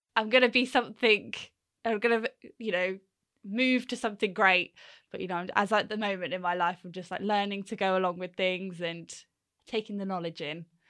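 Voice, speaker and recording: A woman with a southern English accent at a fairly quick pace, with long, frequent pauses, ordinary pitch variation and a very clean recording with a silent background. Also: medium pitch for a woman, big swings in loudness. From southern England, Hampshire. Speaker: waste transfer station manager. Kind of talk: casual interview.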